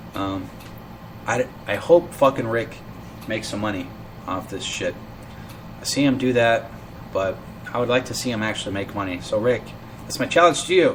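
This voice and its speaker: Lively intonation broken by long, frequent pauses, over noticeable background noise. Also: man, medium pitch for a man, moderate pace. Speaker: internet radio show host. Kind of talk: casual live show monologue. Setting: live online broadcast. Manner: halting, stuttering.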